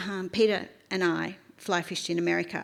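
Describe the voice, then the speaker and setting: With an Australian accent, a woman talks at a moderate pace. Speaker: fly fishing champion and guide. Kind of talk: conference talk. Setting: stage with audience. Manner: reading from notes.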